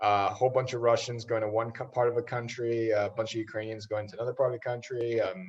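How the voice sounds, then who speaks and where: A medium-pitched, somewhat breathy man's voice in monotone, flat intonation, with hardly any pauses. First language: Russian. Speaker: social media influencer. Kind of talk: casual podcast interview.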